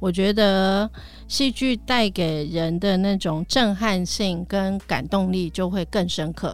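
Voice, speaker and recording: Over music in the background, a woman talks at a very slow pace with ordinary pitch variation. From Taiwan. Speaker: theatre company director. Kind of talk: interview chat.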